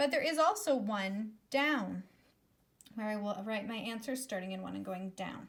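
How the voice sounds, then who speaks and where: The speaker is a woman. It is a plain, everyday voice. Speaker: elementary school teacher. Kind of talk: recorded math lesson for pupils. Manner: upbeat, encouraging.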